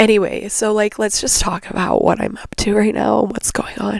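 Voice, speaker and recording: A quiet woman's voice. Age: 30s. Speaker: podcast host. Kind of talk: casual monologue. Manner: hesitant, filler-heavy.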